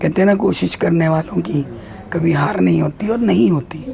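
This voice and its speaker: A woman is speaking. Noticeable background noise runs underneath her voice. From India. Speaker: actress. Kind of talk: interview answer.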